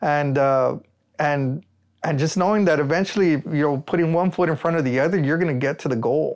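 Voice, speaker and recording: Over a quiet background, a man with an American accent uses a normal speaking voice, fairly high in pitch, at a fairly quick pace with ordinary pitch variation and very even loudness. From Rio Grande Valley, South Texas. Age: 30s. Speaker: solar energy entrepreneur. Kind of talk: casual interview.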